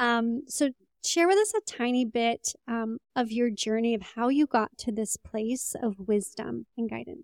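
A woman with a normal speaking voice talks at a fairly slow pace in a fairly high pitch, with ordinary pitch variation and a dry, close sound with no echo. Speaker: podcast host. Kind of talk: podcast interview conversation.

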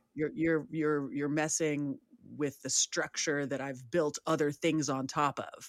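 A woman with a very deep, low pitch speaks fairly slowly in a Californian accent, her intonation monotone and flat. The sound is dry and close, with no echo. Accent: Californian American. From San Francisco, US West Coast. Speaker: life coach. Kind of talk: casual chat.

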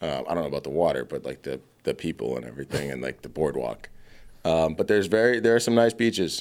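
A man speaks very fast with a very deep, low pitch. His voice shows vocal fry and very wide pitch swings. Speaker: podcast host. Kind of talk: casual banter podcast chat. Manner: joking, irreverent.

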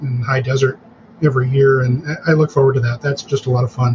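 Talking at a very fast pace, this man has a fairly high pitch, with noticeable background noise behind him. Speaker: guest, cancer patient's husband and caregiver. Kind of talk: casual interview.

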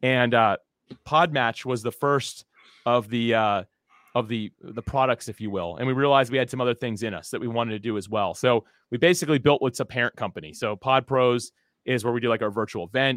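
A man speaks at a fairly quick pace in an animated, enthusiastic tone. His voice sits at medium pitch with ordinary variation. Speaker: podcasting entrepreneur, former aerospace worker. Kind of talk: casual interview chat.

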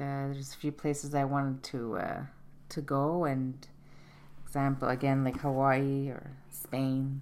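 A woman's very deep, low voice, monotone and flat, at a fairly slow pace. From Montreal, Canada. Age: 50s. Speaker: retail product analyst, host's mother. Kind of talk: interview. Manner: halting, many fillers.

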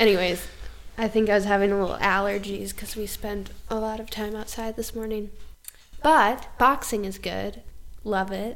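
Soft-spoken, a woman talks with fairly even intonation. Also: medium pitch for a woman, moderate pace. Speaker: yoga instructor. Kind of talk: casual interview conversation. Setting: home, indoor with microphones.

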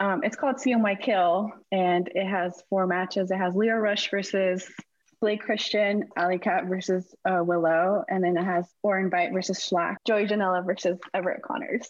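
Speaking at a moderate pace, a woman with an ordinary speaking voice keeps a medium pitch, ordinary pitch variation and very even loudness. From Houston, Texas. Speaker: wrestling photographer. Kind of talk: interview.

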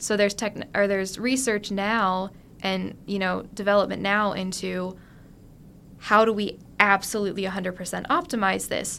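With a bright, sharp tone, a woman speaks at a moderate pace in a medium pitch with fairly even intonation. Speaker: engineering student. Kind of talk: casual interview.

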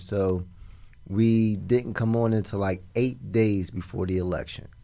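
In an American accent, a plain, everyday voice moves at a fairly slow pace with ordinary pitch variation, captured on a very clean recording with a silent background. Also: man. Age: 40s. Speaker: app founder and political organizer. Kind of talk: casual interview.

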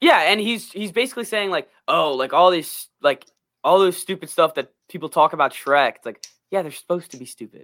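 A man's high, bright, sharp voice at a fairly quick pace, with lively intonation, big swings in loudness, and a dry, close sound with no echo. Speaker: podcast host. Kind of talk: casual chat. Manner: animated.

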